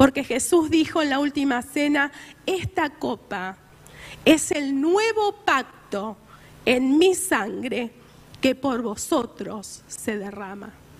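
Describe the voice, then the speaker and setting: A woman talks at a very slow pace. Her high voice swings very widely in pitch. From Argentina. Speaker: preacher. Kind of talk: sermon. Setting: church. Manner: earnest, exhortative preaching.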